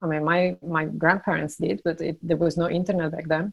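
The speaker has an Italian accent, recorded very cleanly against a silent background. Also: woman. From Italy. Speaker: startup founder and CEO. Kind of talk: interview. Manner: hesitant, with fillers.

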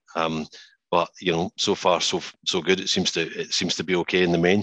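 In a Scottish accent, a man with a very deep, low pitch and a bright, sharp tone speaks with fairly even intonation, the sound dry and close with no echo over a quiet background. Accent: Scottish (Edinburgh area). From Scotland, Musselburgh near Edinburgh. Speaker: financial industry chief executive. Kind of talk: interview. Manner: hesitant, many fillers and repeats.

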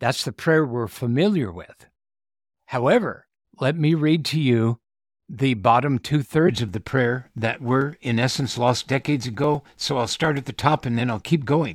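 A man with an unremarkable speaking voice at a medium pitch, ordinary pitch variation, and a dry, close sound with no echo on a very clean recording with a silent background. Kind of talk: prayer reading. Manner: solemn, reverent; slow, earnest.

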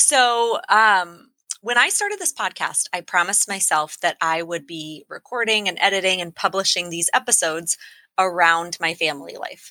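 A woman of medium pitch with lively intonation, in a dry, close sound with no echo and a very clean recording with a silent background. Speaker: podcast host. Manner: fast talker.

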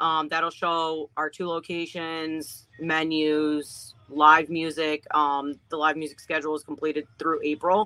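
In an American accent, a woman talks in a very deep, low voice, bright and sharp in tone, with flat, monotone intonation. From Ohio, US Midwest. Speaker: restaurant owner. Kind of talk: casual interview. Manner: frequent ums and hesitations.

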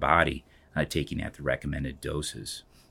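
Heard on a very clean recording with a silent background, a man talks at a fairly quick pace with vocal fry. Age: 50s. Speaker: physician and hospital medical officer. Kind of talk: health update podcast monologue. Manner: halting, many fillers.

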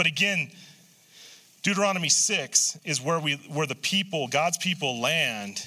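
This man's fairly high voice has a bright, sharp tone and vocal fry, with lively intonation at a fairly slow pace. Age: 60s. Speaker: pastor. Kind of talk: sermon. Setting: church. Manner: halting.

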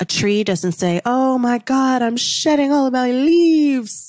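A woman speaks with an intense, animated tone and high pitch. Her pitch swings very widely. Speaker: manifestation coach and podcast host. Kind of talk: motivational spiritual coaching monologue with sales pitch; angry rant, fiery and profane, railing against sunscreen and chemtrails. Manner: animated, emphatic, fervent, upbeat; intense, indignant and raised-voice during the rant.

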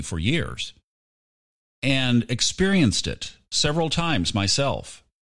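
Speaking fairly slowly, a man uses a bright, sharp tone with vocal fry and very wide pitch swings. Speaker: podcast host and audiobook narrator. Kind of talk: casual solo monologue. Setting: remote microphone while traveling.

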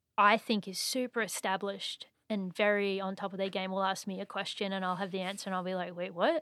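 Recorded very cleanly against a silent background, a woman with an Australian accent speaks at a medium pitch and a fairly quick pace in a dry, close sound with no echo. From Australia (Brisbane). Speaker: composer and musician. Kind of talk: casual chat. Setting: studio.

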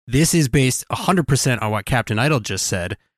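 Recorded very cleanly against a silent background, with a dry, close sound and no echo, a man with an ordinary speaking voice and a medium pitch speaks with lively intonation. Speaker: podcast co-host. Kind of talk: casual chat.

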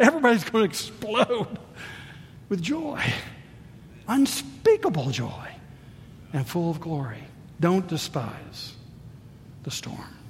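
The speech moves at a very slow pace with long, frequent pauses. Noticeable background noise is present. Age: 60s. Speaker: pastor. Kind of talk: sermon. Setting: church. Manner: animated.

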